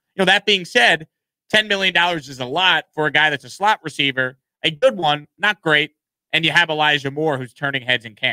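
A man speaks fairly quickly in a bright, sharp tone with ordinary pitch variation. The sound is dry with no echo, over a quiet background. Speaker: sports show host. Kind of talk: sports commentary. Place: studio. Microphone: studio mic.

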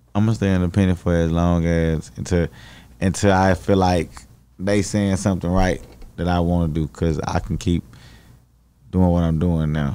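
A man talks at a moderate pace with a very deep, low pitch and fairly even intonation. His tone is dark and mellow, and the sound is dry with no echo. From Dallas, Texas; Texas. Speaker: rapper; guest. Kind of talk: interview; interview answer. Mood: relaxed, confident. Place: studio. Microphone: studio mic.

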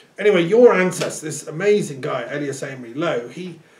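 There is audible room echo and light background noise. A man talks at a moderate pace with ordinary pitch variation. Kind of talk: one side of a phone conversation. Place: home room.

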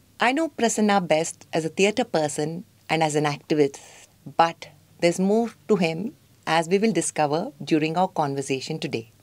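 A woman with a fairly low pitch and an unremarkable speaking voice talks at a moderate pace. Her intonation is lively. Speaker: talk show host. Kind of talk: talk show interview. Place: studio.

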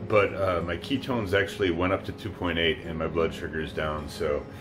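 Clear music plays behind a man whose very deep, low voice shows ordinary pitch variation. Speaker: diet vlogger. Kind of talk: casual vlog chat. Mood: puzzled, lightly amused. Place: home room. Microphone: phone near.

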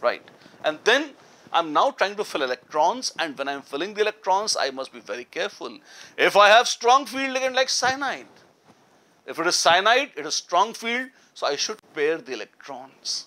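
A man speaks in a raised, projected voice with big swings in loudness and very wide pitch swings. His tone is bright and sharp, at a moderate pace. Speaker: chemistry teacher. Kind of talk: lecture. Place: studio.

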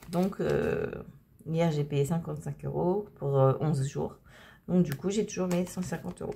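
A woman talks at a very slow pace in a fairly low, somewhat breathy voice. Her pitch varies in an ordinary way. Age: 30s. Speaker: budgeting YouTuber. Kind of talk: casual vlog tutorial. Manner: halting, many fillers. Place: home room. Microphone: phone near.

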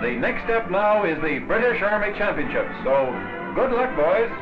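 A man at a moderate pace, clear music in the background. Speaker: newsreel narrator. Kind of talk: newsreel commentary. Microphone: old recording.

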